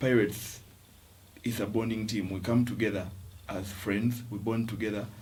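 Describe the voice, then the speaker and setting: A soft-spoken, somewhat breathy man's fairly low voice at a moderate pace, monotone and flat, with long, frequent pauses. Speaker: rugby player. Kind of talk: interview answer.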